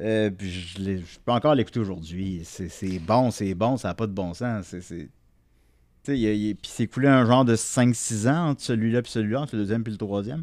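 A man talks with a Quebec accent and ordinary pitch variation. His pace is moderate. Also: very clean recording, silent background. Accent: Québécois French. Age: 30s. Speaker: podcaster and vinyl collector. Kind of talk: casual chat.

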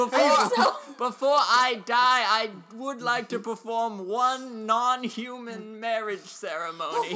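Very slow and with hardly any pauses, the fairly high voice keeps a fairly even intonation against clear background noise. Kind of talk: improv comedy old-lady voice. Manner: quavering, polite.

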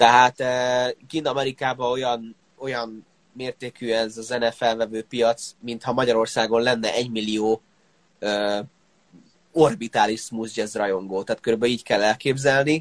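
A man with an unremarkable speaking voice talks at a medium pitch, the sound dry and close with no echo. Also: fairly slow pace. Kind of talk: casual interview. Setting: online live interview.

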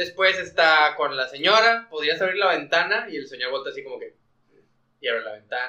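Bright and sharp in tone, a man with a Mexican accent speaks fairly quickly at a high pitch, his intonation lively and his loudness swinging widely. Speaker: podcast host. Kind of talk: casual chat.

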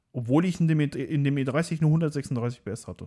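A man speaks at a fairly slow pace with lively intonation. His fairly high voice has a dark, mellow tone. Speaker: car tuning YouTuber. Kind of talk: casual interview chat.

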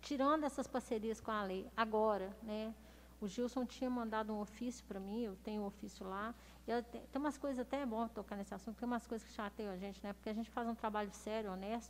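Fairly even intonation and a fairly quick pace in an ordinary speaking voice. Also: woman. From Minas Gerais, Brazil (Belo Horizonte). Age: 40s. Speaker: city councillor and former police officer. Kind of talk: interview. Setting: studio, streamed live.

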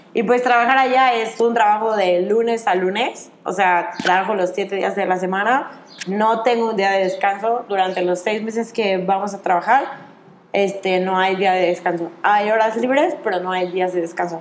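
Audible room echo surrounds a woman talking at a moderate pace and medium pitch, with ordinary pitch variation. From Mexico. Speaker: children's activities worker on a cruise ship. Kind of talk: interview. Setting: outdoors.

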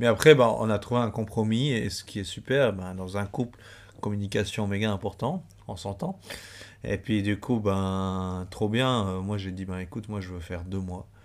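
In a very clean recording with a silent background, a man with a plain, everyday voice speaks at a moderate pace and fairly low pitch, with ordinary pitch variation and big swings in loudness. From Switzerland, Valais. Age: 30s. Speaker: traveler, former office clerk. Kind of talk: casual chat.

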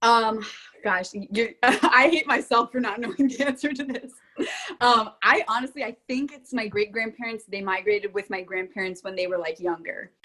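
In an American accent and an ordinary speaking voice, a woman talks at a moderate pace with fairly high pitch and lively intonation. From Florida. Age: 20s. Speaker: college athlete. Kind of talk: casual chat.

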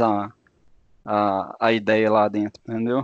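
The recording is dry and close, without any echo. A man talks in a medium pitch. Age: 20s. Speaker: engineering student. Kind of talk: casual interview.

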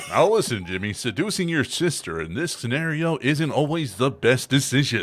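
A man uses a put-on character voice, fairly high and resonant, with very wide pitch swings. He keeps a moderate pace with hardly any pauses. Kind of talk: formal, broadcast-like. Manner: sonorous, announcing.

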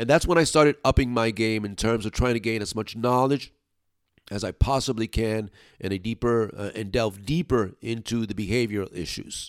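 A man with an American accent at medium pitch, moderate pace and ordinary pitch variation, on a very clean recording with a silent background. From New York City, Brooklyn. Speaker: dog trainer. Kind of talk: solo podcast monologue.

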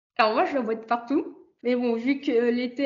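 A woman talks at a fairly slow pace in an ordinary speaking voice. Her pitch is fairly high, with ordinary variation. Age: 20s. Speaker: postdoctoral chemist. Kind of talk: interview.

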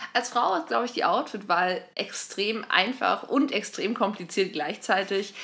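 A woman speaks in an ordinary speaking voice at a fairly slow pace, her intonation lively. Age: 20s. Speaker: podcast co-host. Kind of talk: casual chat.

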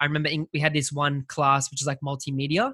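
A man with an Australian accent speaks very fast in a bright, sharp tone. The sound is dry and close with no echo, and the background is quiet. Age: 20s. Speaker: graphic designer. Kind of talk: casual interview.

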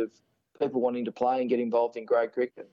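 An Australian accent in a monotone, flat delivery. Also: man. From Sydney, Australia. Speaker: former first-class cricketer. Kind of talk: interview.

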